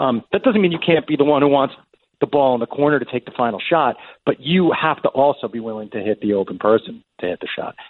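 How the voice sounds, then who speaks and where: A man talks at a fairly quick pace. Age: 50s. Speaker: screenwriter and TV showrunner. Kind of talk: interview conversation. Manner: repeats words and restarts sentences.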